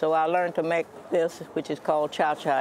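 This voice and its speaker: Over crowd noise in the background, a woman talks at a moderate pace with a very deep, low pitch. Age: 80s+. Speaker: home cook and gardener selling at a market. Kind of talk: interview. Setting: farmers' market.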